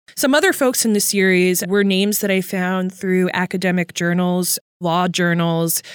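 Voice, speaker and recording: A woman with a plain, everyday voice speaks at a medium pitch and a moderate pace, hardly pausing, with fairly even intonation and very even loudness on a very clean recording with a silent background. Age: 30s. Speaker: journalist and podcast host. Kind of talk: interview.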